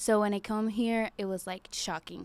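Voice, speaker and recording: A fairly high-pitched woman on a very clean recording with a silent background. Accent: Venezuelan. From Venezuela. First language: Spanish. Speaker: bodybuilder. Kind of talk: casual interview chat.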